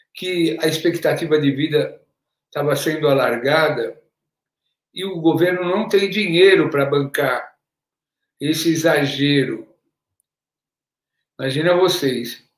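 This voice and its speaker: A very slow, fairly high-pitched male voice with fairly even intonation and long, frequent pauses. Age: 70s. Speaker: political activist. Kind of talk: panel discussion.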